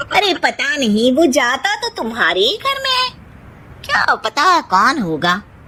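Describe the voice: In a cartoonish character voice, a woman speaks at a high pitch and moderate pace with very wide pitch swings over light background noise.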